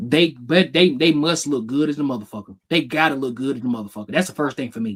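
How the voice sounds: A man's medium-pitched voice at a fast pace, fairly bright in tone with a slightly husky edge and ordinary pitch variation.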